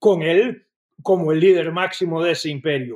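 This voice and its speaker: A man with a high pitch speaks fairly slowly, with ordinary pitch variation. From Costa Rica. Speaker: former defense official. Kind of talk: interview.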